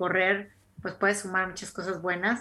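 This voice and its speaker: Recorded very cleanly over a silent background, a woman speaks with a bright, sharp tone. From Mexico, Tampico, Tamaulipas. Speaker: podcast co-host. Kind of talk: casual interview.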